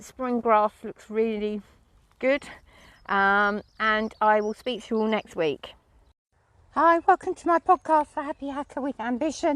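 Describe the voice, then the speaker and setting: Long, frequent pauses break up a fairly slow delivery in an English accent with lively intonation, the sound dry and close with no echo. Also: woman, fairly high pitch for a woman. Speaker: podcaster and horse owner. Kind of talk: casual vlog chat. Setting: outdoors.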